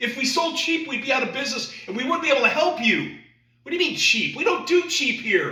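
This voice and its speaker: A man speaks in a raised, projected voice at a fairly quick pace. Audible room echo surrounds him. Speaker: sales trainer. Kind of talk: sales training presentation. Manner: animated.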